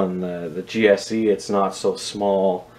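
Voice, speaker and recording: This man has an ordinary speaking voice. His pitch is fairly low and his intonation fairly even. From Canada. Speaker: scale model reviewer and airport worker; scale model reviewer. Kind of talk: casual video review. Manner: casual, with many filler words. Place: home room. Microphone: phone near.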